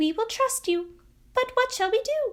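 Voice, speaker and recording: In a put-on character voice, a woman speaks at a moderate pace. Her pitch is extremely high and squeaky. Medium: read story.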